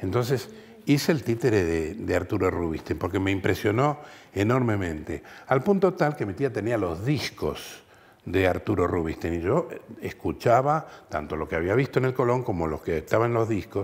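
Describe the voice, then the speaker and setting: With a Rioplatense accent, a man talks at a moderate pace. His fairly low voice makes very wide pitch swings. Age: 70s. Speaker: voice artist. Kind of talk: interview.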